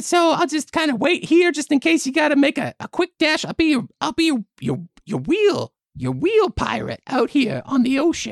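Someone puts on a character voice, high in pitch and at a fairly slow pace. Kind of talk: comic improv. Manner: friendly, casual, chatty.

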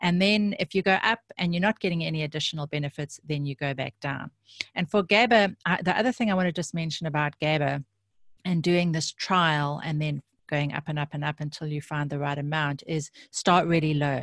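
In a dry, close sound with no echo, a woman with a very deep, low pitch speaks at a fairly quick pace with ordinary pitch variation. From South Africa. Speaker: nutritionist. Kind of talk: interview. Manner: halting, many fillers.

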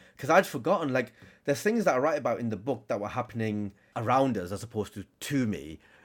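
A man with a Lancashire accent talks very fast at a medium pitch. His pitch swings very widely on a very clean recording with a silent background. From northern England, Blackburn, Lancashire. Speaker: author. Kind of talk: casual chat.

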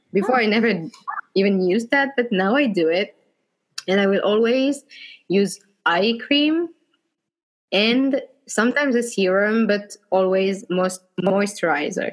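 Speaking with a French accent at a medium pitch, a woman uses lively intonation and very even loudness, moving at a fairly slow pace with long, frequent pauses. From France, Bordeaux. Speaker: blogger. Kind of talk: casual interview.

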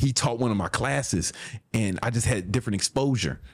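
A man in an animated tone. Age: 40s. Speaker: podcast host and businessman. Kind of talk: monologue-style motivational podcast. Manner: animated, casual, profane.

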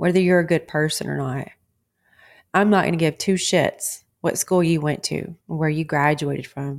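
Fairly even intonation marks this voice, which speaks in a Texan accent. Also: woman, very deep, low pitch for a woman, moderate pace, very clean recording, silent background. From Texas. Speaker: wellness podcast host. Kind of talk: motivational monologue.

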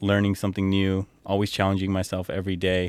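A man with a very deep, low pitch. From San Jose, Bay Area, California. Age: 30s. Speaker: model and consultant. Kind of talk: casual interview. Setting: at his home, outdoors with a view. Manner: frequent fillers and laughs.

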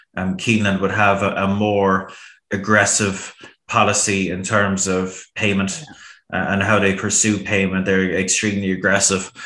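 Fairly low male voice, monotone and flat, at a moderate pace, with a bright, sharp tone and audible room echo. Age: 30s. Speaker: horse racing pundit. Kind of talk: casual chat.

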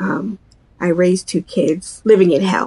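Here is a woman with an ordinary speaking voice at medium pitch. She goes at a fairly slow pace with lively intonation. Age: 50s. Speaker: mental health advocate and helpline coordinator. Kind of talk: interview testimony.

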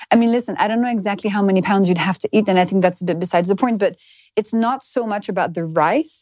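This woman has a medium pitch and a dark, mellow tone, with a French accent. The recording is very clean with a silent background, and the sound is dry and close with no echo. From France. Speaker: biochemist and nutrition author. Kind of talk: casual interview. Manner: lively, laughs easily.

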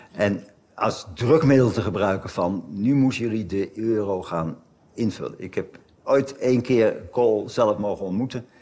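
With a dark, mellow tone and fairly low pitch, a man speaks at a fairly slow pace with ordinary pitch variation. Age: 70s. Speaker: emeritus professor of German history. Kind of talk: conversation on stage. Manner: halting, many repetitions.

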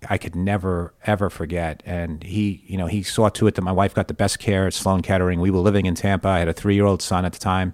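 With an American accent, a man with a very deep, low voice talks at a fairly quick pace and fairly even intonation on a very clean recording with a silent background. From New York. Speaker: baseball team executive. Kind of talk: interview. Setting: studio.

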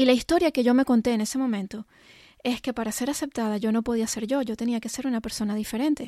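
A woman speaks at a very fast pace in a high pitch with a dark, mellow tone and fairly even intonation. The recording is very clean and dry, close with no echo, over a silent background. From Venezuela. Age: 40s. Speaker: life and business coach. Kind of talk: personal monologue.

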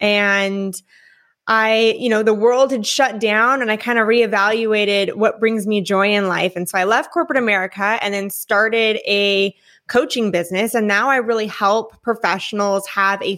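With a West Coast accent, a woman speaks at a moderate pace in a fairly high pitch with a bright, sharp tone and fairly even intonation, on a very clean recording with a silent background. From California, Newport Beach. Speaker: podcast guest, former corporate team leader and mother. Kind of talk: personal story interview.

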